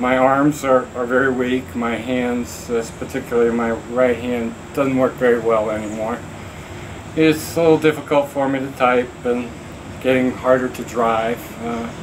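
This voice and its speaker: Over noticeable background noise, a man with an American accent speaks at a medium pitch and moderate pace with monotone, flat intonation. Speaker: person with ALS, advocate. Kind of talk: personal video message. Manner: halting, many fillers and repeats.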